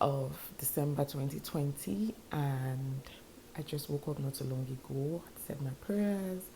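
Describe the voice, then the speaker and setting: Very deep and low, a woman's somewhat breathy voice carries a dark, mellow tone at a fairly slow pace with ordinary pitch variation. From Nigeria. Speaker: YouTuber, vlogger. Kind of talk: casual vlog to camera.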